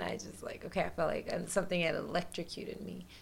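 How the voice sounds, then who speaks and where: Her intonation stays monotone and flat. The woman has an American accent, and audible room echo surrounds her voice. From US South, rural west Tennessee. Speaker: holistic health coach and yoga teacher. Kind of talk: casual interview.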